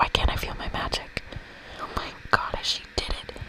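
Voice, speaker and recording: A whisper comes through at a moderate speed, with noticeable noise in the background. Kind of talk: ASMR game playthrough reading. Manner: whispered.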